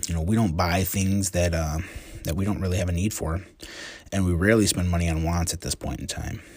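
This man, with an American accent, talks at a very fast pace in a very deep, low pitch, his intonation fairly even and his voice somewhat breathy. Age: 40s. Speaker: physical therapist and blogger. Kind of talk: casual monologue reading and commenting on book quotes. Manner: conversational with frequent fillers.

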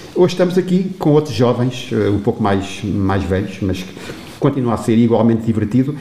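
Over noticeable background noise, a man with a medium pitch moves at a fairly quick pace through very wide pitch swings. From Portugal, Torres Novas. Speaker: retired teacher, singing instructor. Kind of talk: interview.

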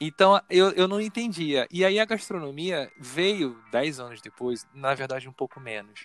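A man speaks with a Carioca accent at a fairly slow pace, with lively intonation and big swings in loudness. Music plays in the background. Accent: carioca Brazilian Portuguese. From Rio de Janeiro, north zone. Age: 40s. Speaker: researcher. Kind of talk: casual interview conversation.

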